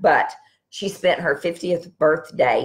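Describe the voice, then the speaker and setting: With a quiet background, a woman is talking. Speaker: wellness practitioner host. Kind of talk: live stream talk to viewers. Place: home room. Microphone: webcam.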